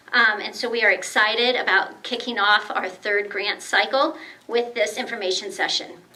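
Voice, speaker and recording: A woman with a high pitch speaks at a moderate pace and ordinary pitch variation. Noticeable background noise sits behind her. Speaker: grant committee volunteer at a members' meeting. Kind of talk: speech to an audience. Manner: hesitant, many fillers.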